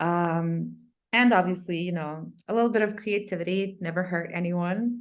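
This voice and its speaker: A woman with a non-native accent and a fairly low pitch speaks fairly slowly with fairly even intonation. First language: not English. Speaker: content marketing company co-founder. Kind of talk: interview. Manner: casual, many filler words.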